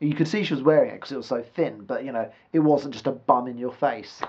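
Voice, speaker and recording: With a British accent, a man speaks in a fairly high voice. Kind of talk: casual vlog monologue to camera. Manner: rambling, hesitant, some stuttering.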